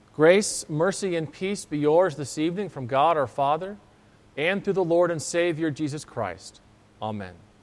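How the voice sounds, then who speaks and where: The speaker uses an ordinary speaking voice with ordinary pitch variation, delivered at a moderate pace. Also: man, fairly high pitch for a man. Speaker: pastor. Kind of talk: sermon. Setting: church.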